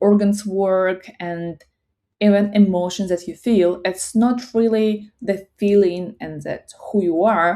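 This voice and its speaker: A woman with a Russian accent and a dark, mellow tone speaks at a very slow pace. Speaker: psychology content creator. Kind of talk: casual talk to camera. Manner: halting.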